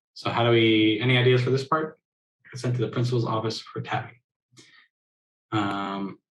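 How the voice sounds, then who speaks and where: Pausing long and often, a man speaks at a medium pitch with fairly even intonation in a somewhat breathy voice. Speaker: sign language interpreting mentor. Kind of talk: online workshop teaching. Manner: fast.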